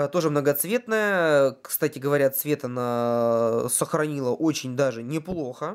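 Ordinary pitch variation marks this voice. The man's pitch is fairly high. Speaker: fishing video blogger. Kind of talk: product review. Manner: hesitant with many fillers.

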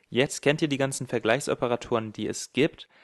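A man with an unremarkable speaking voice, medium in pitch with ordinary pitch variation, in a dry, close sound with no echo against a quiet background. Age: 20s. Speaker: programming tutorial creator. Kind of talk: tutorial.

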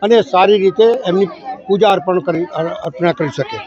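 There is crowd noise in the background as a man talks. His pitch is high, with ordinary variation. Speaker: local politician. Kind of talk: public speech.

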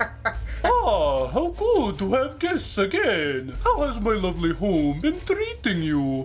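In a put-on character voice, someone talks at a fairly slow pace with hardly any pauses, over clear background noise. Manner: smooth, mock-welcoming, sinister.

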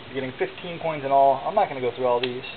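Noticeable noise sits in the background. The delivery moves at a fairly quick pace. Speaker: auction seller. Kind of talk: auction pitch showing items one by one. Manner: casual, conversational; rambling, with filler words and self-corrections. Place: home room. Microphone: phone near.

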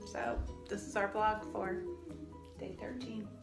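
With clear music in the background and audible room echo, a woman talks at a moderate pace. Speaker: parent vlogger. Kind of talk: casual vlog chat. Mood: relaxed, cheerful. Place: home room. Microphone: phone near.

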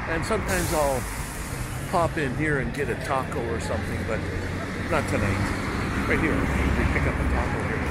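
Loud background noise surrounds a man talking at a moderate pace, the sound itself dry with no echo. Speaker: vlogger filming a walk. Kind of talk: casual vlog chat. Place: street. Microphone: phone near.

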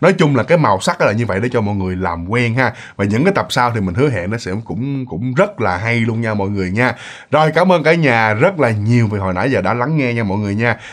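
A man at medium pitch talking at a very fast pace with hardly any pauses and lively intonation. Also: quiet background. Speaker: ghost story narrator. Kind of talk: storytelling. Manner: casual, filler-heavy. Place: home room.

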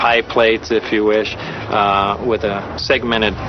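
A monotone, flat voice sounds dry with no echo as clear music plays in the background. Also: man. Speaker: interviewee. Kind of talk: interview answer. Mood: calm, matter-of-fact. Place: street.

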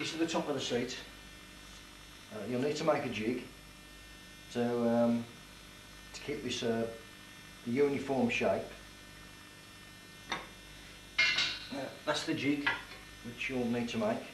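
A man talks at a very slow pace, leaving long, frequent pauses, with ordinary pitch variation. Light background noise and audible room echo are present. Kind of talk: tutorial. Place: workshop. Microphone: camera far.

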